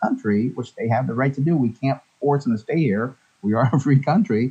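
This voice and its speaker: A man's somewhat breathy voice with a dark, mellow tone and lively intonation. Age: 60s. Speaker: financial advisor. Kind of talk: radio interview.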